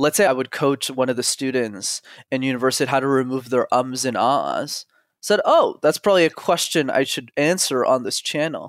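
A man with an unremarkable speaking voice, medium pitch, moderate pace, and a dry, close sound with no echo. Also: ordinary pitch variation. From Montreal, Canada. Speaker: communication coach. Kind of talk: casual interview chat. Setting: video call.

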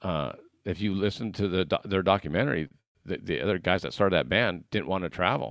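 With vocal fry and a very deep, low pitch, a man talks very fast in an American accent, showing ordinary pitch variation on a very clean recording with a silent background. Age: 50s. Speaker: podcast host and salesperson. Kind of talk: casual interview chat.

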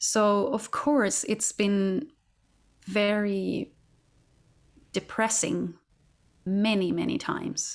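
Speaking very slowly with long, frequent pauses, a woman has a Swedish accent. Her pitch is medium, with ordinary variation. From Sweden. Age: 40s. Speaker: opera singer. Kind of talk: interview.

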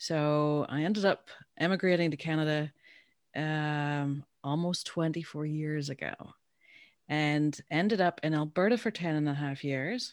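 A woman's very deep, low voice with a Northern Irish accent, fairly slow, with ordinary pitch variation. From Northern Ireland. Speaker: business owner and founder. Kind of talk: casual interview.

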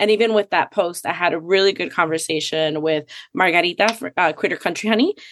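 Against a quiet background, a woman with a Miami accent talks at a fairly quick pace and a fairly low pitch, with ordinary pitch variation in a dry, close sound with no echo. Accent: Miami American English. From Puerto Rico, raised in Miami. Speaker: social media community co-founder. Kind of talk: casual chat. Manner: animated.

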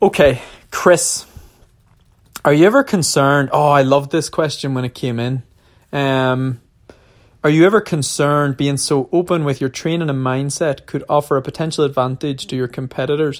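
A man with an Irish accent speaks at a moderate pace in a fairly high voice for a man. His intonation stays fairly even, and the recording is very clean with a silent background. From Ireland. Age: 30s. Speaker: professional marathon runner. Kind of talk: casual Q&A monologue. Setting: at altitude training camp.

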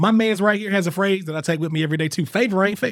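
Recorded very cleanly with a silent background, a man with a North Carolina accent speaks in an animated tone with ordinary pitch variation. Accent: US Southern, North Carolina. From eastern North Carolina. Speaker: podcast host. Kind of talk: casual chat. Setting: studio.

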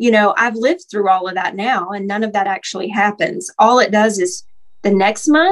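With a fairly high pitch, a woman talks at a moderate pace. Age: 40s. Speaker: coaching client. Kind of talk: casual chat. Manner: animated.

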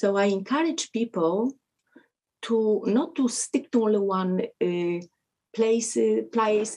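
A woman with a Polish accent speaks at a very slow pace, her pitch fairly high and her tone dark and mellow. Her loudness stays very even, with ordinary pitch variation. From Poland. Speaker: martial artist and doctor. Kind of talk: interview.

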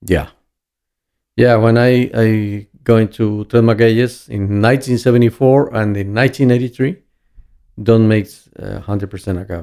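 This man has a Spanish accent and a medium pitch with a dark, mellow tone. He keeps a moderate pace, broken by long, frequent pauses. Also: ordinary pitch variation. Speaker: master distiller. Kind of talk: casual interview. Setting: in person. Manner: halting.

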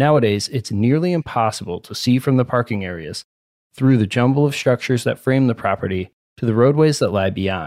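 A plain, everyday voice moves at a fairly quick pace with lively intonation. The recording is very clean with a silent background and a dry, close sound with no echo. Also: man, medium pitch for a man. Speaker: podcast host and narrator. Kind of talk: scripted narration with ad reads.

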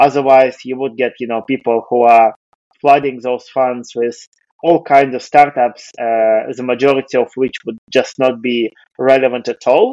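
A man's dark, mellow voice at a moderate pace with monotone, flat intonation. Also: medium pitch for a man, dry, close sound with no echo. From Russia. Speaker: venture capital investor. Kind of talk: interview.

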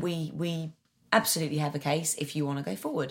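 This voice moves at a moderate pace with ordinary pitch variation and a somewhat breathy quality. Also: woman. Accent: Essex. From Essex, England. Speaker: actor. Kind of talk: casual interview chat.

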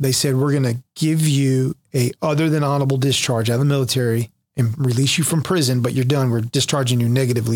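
A man's normal speaking voice with an American accent, medium in pitch and fairly quick, with fairly even intonation, very even loudness, and a dry, close sound with no echo. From North Carolina, Jacksonville area. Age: 40s. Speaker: pastor, recovering addict, former Marine. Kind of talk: testimony.

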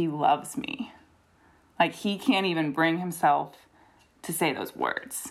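This is a woman with an American accent. Her voice sits fairly low. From US South, Greensboro, North Carolina. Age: 20s. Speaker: podcast guest sharing coming out story. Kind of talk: casual interview, personal testimony.

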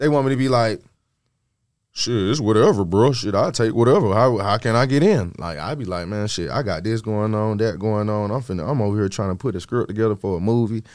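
A man speaks in a normal speaking voice with an American accent, fairly low-pitched and at a fairly quick pace, with ordinary pitch variation on a very clean recording with a silent background. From US South, Georgia (Stone Mountain, east Atlanta). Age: 30s. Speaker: rapper. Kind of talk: casual chat.

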